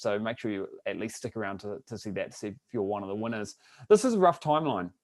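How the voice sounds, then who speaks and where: Here a man talks at a very fast pace. He speaks with a New Zealand accent. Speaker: online business coach. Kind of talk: webinar presentation. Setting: live webinar broadcast.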